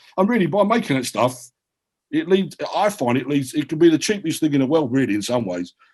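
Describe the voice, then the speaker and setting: A man talks at a fairly quick clip with a strong South London accent. His intonation is lively. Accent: heavy South London. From South London (Peckham). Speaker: writer and filmmaker. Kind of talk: panel discussion. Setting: video call. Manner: animated.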